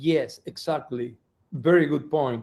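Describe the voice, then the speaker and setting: This man speaks with a non-native accent in a dark, mellow tone. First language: not English. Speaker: executive director of an environmental nonprofit. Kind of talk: interview. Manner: halting, with many repetitions.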